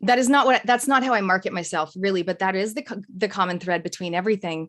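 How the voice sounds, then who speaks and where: Talking at a very fast pace, a woman is heard in a very clean recording with a silent background. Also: medium pitch for a woman, ordinary pitch variation. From Canada. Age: 40s. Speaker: business coach and speaker. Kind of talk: podcast interview.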